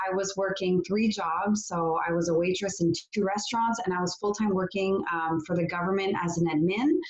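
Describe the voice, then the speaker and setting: With a slight French Canadian accent, a woman talks at a fairly quick pace with hardly any pauses, a medium pitch, fairly even intonation and very even loudness, over noticeable background noise. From Quebec, Canada. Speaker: network marketing entrepreneur. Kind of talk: testimony. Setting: video call.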